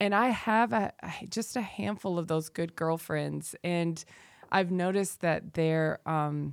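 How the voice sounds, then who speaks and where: A woman with an American accent speaks at a fairly slow pace in a fairly low pitch with ordinary pitch variation, in an ordinary speaking voice, on a very clean recording with a silent background and a dry, close sound with no echo. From US South. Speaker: dance teacher and wellness instructor. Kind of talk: casual chat.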